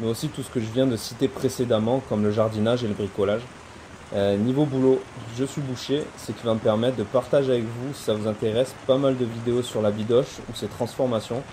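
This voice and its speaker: Over noticeable background noise, a man speaks at a fairly quick pace and medium pitch with fairly even intonation. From southern France, Montpellier area. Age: 30s. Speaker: butcher and homesteading video maker. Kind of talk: casual video self-presentation. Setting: outdoors in his garden. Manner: hesitant, many fillers.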